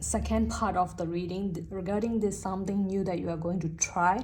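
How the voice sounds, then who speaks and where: A woman talks with a non-native accent. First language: not English. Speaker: tarot reader. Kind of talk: tarot reading to camera.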